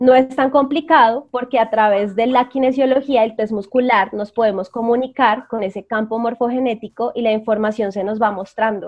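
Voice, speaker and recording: With a normal speaking voice, a woman talks at a moderate pace and fairly high pitch, her intonation fairly even and hardly any pauses in between. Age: 20s. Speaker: psychologist and energy coach. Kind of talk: interview.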